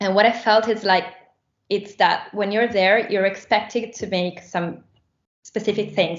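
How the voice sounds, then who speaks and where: In an Italian accent, a woman speaks at a fairly slow pace. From Rome, Italy. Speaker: musician. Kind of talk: interview. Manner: halting.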